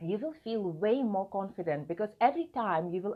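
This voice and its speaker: A woman with a non-native accent and very wide pitch swings. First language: not English. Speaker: video marketing coach. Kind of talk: vlog talk to camera.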